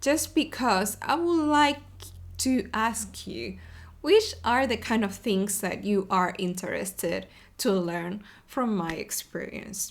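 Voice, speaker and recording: With an Argentine accent, a woman speaks very slowly at a medium pitch, using vocal fry and very wide pitch swings, on a very clean recording with a silent background. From Argentina, Buenos Aires. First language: Spanish. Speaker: web developer advocate, podcast host. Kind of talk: casual video podcast monologue. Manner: many fillers and hesitations.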